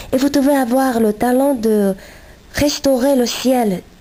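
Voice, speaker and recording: At a very slow pace, a woman with a Chinese accent speaks with ordinary pitch variation. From China. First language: Chinese (speaking French). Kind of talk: reading aloud. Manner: halting, self-correcting.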